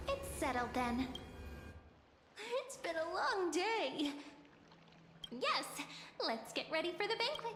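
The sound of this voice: A woman's put-on character voice, extremely high in pitch with big pitch swings, a fairly bright tone, a slow pace and long, frequent pauses.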